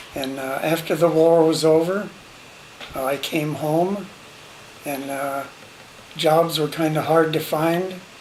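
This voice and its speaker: A man with an American accent talks at a very slow pace in a fairly high pitch, with monotone, flat intonation and long, frequent pauses. Noticeable background noise and audible room echo fill the recording. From small-town Illinois, US Midwest. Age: 80s+. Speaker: WWII veteran, grandfather. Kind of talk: family interview, personal history. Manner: halting, many fillers.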